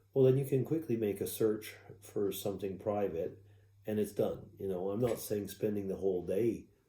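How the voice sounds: A man speaks fairly slowly in a fairly low, dark, mellow voice with ordinary pitch variation. Audible room echo surrounds him.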